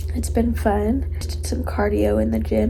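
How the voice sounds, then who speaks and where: A woman talks with a very deep, low pitch. Audible room echo and noticeable background noise are in the recording. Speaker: flight attendant vlogger. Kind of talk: casual vlog talk to camera. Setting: hotel room, lying in bed.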